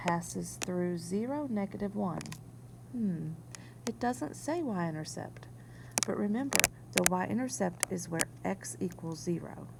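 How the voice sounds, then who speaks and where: A woman talks fairly slowly while noticeable background noise runs behind her. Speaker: math teacher. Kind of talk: recorded video lesson. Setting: whiteboard screencast.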